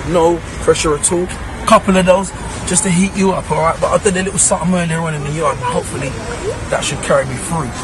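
A high-pitched man speaks very fast with ordinary pitch variation. Crowd noise sits in the background of a dry sound with no echo. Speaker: fitness trainer. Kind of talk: tutorial. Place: street.

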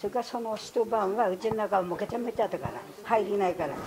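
There is noticeable background noise behind this woman speaking. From Futaba, Fukushima, Japan. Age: 80s+. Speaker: nuclear disaster evacuee. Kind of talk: interview answer. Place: hall. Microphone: camera far.

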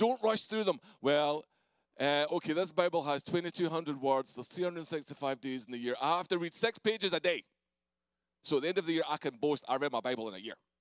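A man with a Scottish accent talks at a fairly quick pace in a fairly high pitch, recorded dry with no echo over a quiet background. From Scotland. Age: 40s. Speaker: pastor. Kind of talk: sermon. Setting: church. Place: church. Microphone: handheld.

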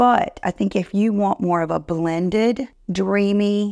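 A woman's medium-pitched, slightly mellow voice with vocal fry, fairly even intonation and a slow pace, on a very clean recording with a silent background

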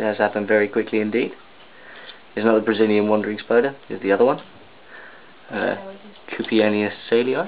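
Man with a fairly low pitch, fairly even intonation and a fairly quick pace, broken by long, frequent pauses, over light background noise. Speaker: spider and reptile keeper. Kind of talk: casual commentary on pet video. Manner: rising intonation at end of sentences. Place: home room.

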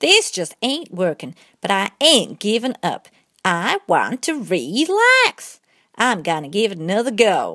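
A cartoonish character voice that sounds female speaks at a fairly slow pace in a medium pitch. The recording is very clean with a silent background. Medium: puppet show. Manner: folksy, easygoing, comic.

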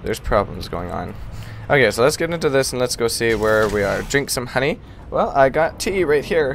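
A man talks at a fairly quick pace with lively intonation. Noticeable background noise sits behind him. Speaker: gaming streamer. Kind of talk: live gameplay stream chat. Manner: quiet, effortful.

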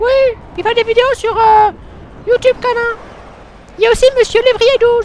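In a put-on character voice pitched extremely high, the speaker goes at a moderate pace with monotone, flat intonation and long, frequent pauses, over clear background noise. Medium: solo performance. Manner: brash, insulting.

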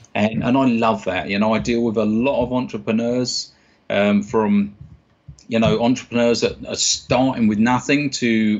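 The speaker talks at a moderate pace with a South London accent and fairly even intonation. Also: man. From South East London, England. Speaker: stage and clinical hypnotist. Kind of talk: interview answer. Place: office. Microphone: webcam.

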